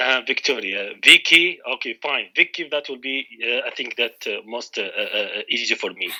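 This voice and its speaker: With an Arabic accent, a man speaks at a moderate pace with hardly any pauses. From Iraq, Baghdad. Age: 40s. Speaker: English learner, UN contractor. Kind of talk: trial English lesson. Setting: Skype call. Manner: halting, many fillers.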